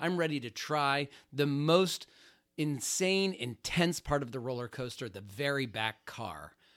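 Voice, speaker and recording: An unremarkable speaking voice from a man, fairly high in pitch with lively intonation, on a very clean recording with a silent background. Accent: American. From Ohio, Youngstown. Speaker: financial advisor. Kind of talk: podcast monologue.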